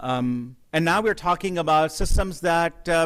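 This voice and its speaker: A man talks at a fairly slow pace with ordinary pitch variation. The recording is very clean, with a silent background. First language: not English. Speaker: professor. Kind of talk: keynote lecture. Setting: stage with audience. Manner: halting, many fillers.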